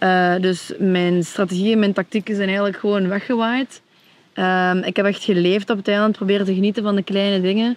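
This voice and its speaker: A woman talks at a fairly quick pace with monotone, flat intonation and very even loudness over a quiet background. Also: medium pitch for a woman. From Belgian Limburg. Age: 20s. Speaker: reality show contestant. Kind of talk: casual interview.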